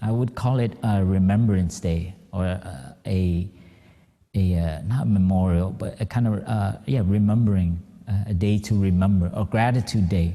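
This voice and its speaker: Moderate pace and ordinary pitch variation, in an American accent. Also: man, fairly low pitch for a man. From Vietnamese-born, raised in the US. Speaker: Buddhist monk. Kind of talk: dharma talk. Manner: halting, many fillers.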